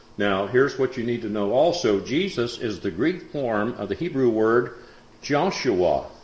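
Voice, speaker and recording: A man at a fairly slow pace, with audible echo from the room. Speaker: Bible class teacher. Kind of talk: lecture. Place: classroom. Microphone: old recording.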